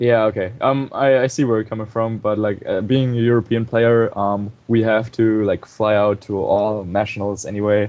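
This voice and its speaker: Speaking in a German accent, a man keeps a flat, monotone delivery at a medium pitch and a moderate pace. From Germany. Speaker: competitive video game player. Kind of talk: casual chat. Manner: hesitant, many fillers.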